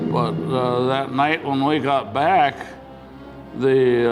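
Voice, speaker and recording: A man with an American accent, fairly high pitch and a fairly slow pace, music playing in the background. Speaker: WWII B-17 bomber pilot, war veteran. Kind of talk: oral history interview answer.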